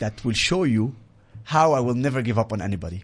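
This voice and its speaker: A somewhat breathy voice in an Arabic accent shows ordinary pitch variation over a quiet background. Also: man. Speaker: military veteran and advocacy speaker. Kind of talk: interview. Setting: studio.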